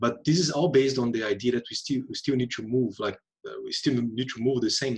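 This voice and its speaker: Somewhat breathy and medium in pitch, a man speaks fairly quickly in a Portuguese accent. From Brazil. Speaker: UN economist on circular economy. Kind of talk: webinar panel discussion. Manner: halting, many fillers and repetitions.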